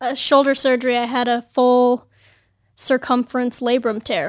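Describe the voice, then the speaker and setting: A woman speaks in a high voice. She has a Californian accent. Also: very clean recording, silent background. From Los Angeles, California. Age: 20s. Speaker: pro skateboarder. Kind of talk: casual chat. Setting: studio.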